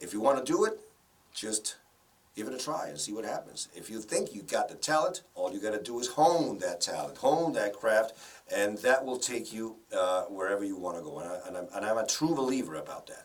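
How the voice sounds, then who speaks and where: Noticeable background noise accompanies speech at a fairly quick pace with big swings in loudness. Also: man. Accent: strong Spanish. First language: Spanish. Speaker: broadcaster and voice-over professional. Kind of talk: interview.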